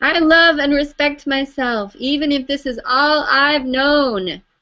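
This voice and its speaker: Speaking at a fairly slow pace, this squeaky put-on character voice carries ordinary pitch variation. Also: woman, high pitch for a woman. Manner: nervous.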